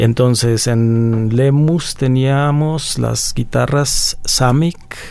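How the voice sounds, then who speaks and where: A man's medium-pitched voice at a very slow pace, with fairly even intonation, hardly any pauses and audible room echo. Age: 50s. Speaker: guitar technician. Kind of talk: casual chat.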